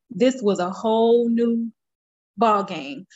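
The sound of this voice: A woman speaks slowly in a fairly high voice with a slightly mellow tone. Her pitch varies in an ordinary way.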